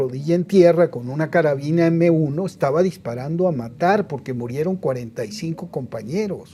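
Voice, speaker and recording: The man's tone is dark and mellow, his pace moderate, and his pitch varies in an ordinary way. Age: 70s. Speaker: TV producer and political commentator. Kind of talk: interview. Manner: animated.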